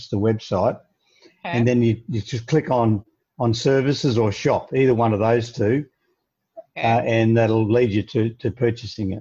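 With an Australian accent, a man speaks at a moderate pace and medium pitch with fairly even intonation. His tone is dark and mellow, and somewhat breathy. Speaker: leadership coach. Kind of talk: interview.

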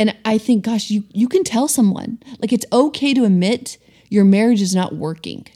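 A woman speaks at a fairly high pitch with a dark, mellow, somewhat breathy tone. Her pace is moderate and her pitch varies in an ordinary way. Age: 30s. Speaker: podcast co-host. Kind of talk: casual chat.

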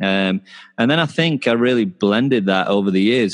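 Recorded with a dry, close sound and no echo, a man with a Yorkshire accent speaks with ordinary pitch variation. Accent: northern English (Yorkshire). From North Yorkshire, northern England. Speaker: sports performance coach. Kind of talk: interview conversation.

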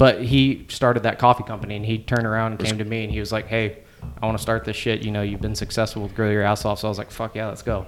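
Speaking very fast with a Texan accent, a man keeps his fairly low voice monotone and flat. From Houston, Texas. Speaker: seasoning company founder. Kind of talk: casual chat. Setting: office bar at a company party.

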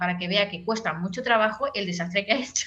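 A woman speaks over noticeable background noise. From Catalonia, Spain (Tarragona area). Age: 40s. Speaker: professional makeup artist. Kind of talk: casual interview chat.

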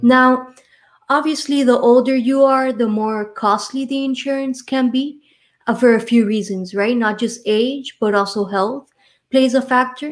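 Speaking in an American accent, a woman uses a high pitch at a fairly slow pace. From Miami, Florida. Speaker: insurance and retirement planning professional. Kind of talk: casual interview chat. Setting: live online show.

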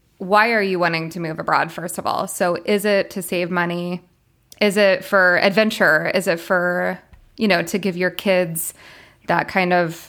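A woman with a fairly low voice speaks at a fairly slow pace in a monotone, flat intonation, recorded very cleanly against a silent background. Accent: American. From US South, Florida. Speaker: international school teacher. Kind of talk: interview.

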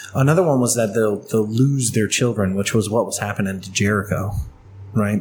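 Fairly quick, somewhat breathy male speech, fairly low in pitch, with fairly even intonation. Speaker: podcast co-host. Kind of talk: casual banter over beers.

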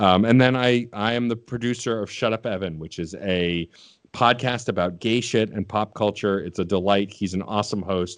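In a normal speaking voice, a man with a fairly low pitch talks at a moderate pace with fairly even intonation against a quiet background. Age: 30s. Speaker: podcast producer and host. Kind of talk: casual chat.

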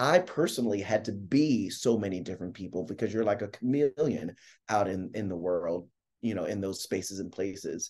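Delivered at a fairly quick pace with ordinary pitch variation, this is a normal speaking voice. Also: man, fairly low pitch for a man. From Philadelphia, South Philly. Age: 40s. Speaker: playwright and performer. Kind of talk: interview.

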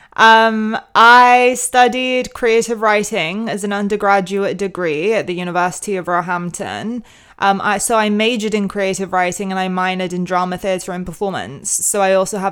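A fairly slow pace from a woman, her pitch varying in an ordinary way. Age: 20s. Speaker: podcast host and short story writer. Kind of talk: casual monologue. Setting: home kitchen. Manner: casual with fillers.

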